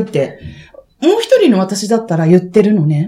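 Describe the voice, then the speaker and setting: A woman's somewhat breathy, dark, mellow voice sits fairly high in pitch, with lively intonation. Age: 40s. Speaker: podcast host. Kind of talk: casual chat. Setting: public recording with live audience.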